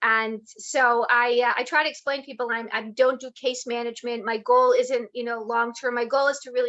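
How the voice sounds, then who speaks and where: This woman's high voice has a bright, sharp tone, a South Jersey accent and fairly even intonation. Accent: American (South Jersey). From US, South Jersey. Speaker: healthcare advocate. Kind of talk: interview. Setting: live video stream.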